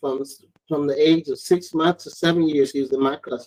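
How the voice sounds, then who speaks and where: A man with an American accent, a fairly high pitch, fairly even intonation and a moderate pace. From US South, Alabama (Mobile area). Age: 60s. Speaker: interviewee, father of the host. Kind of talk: casual interview.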